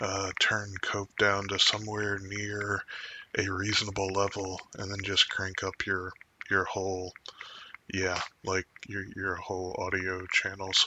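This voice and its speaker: A man speaks quietly at a fairly slow pace. His intonation is monotone and flat. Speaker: podcast host. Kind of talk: casual chat. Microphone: too quiet without amplification.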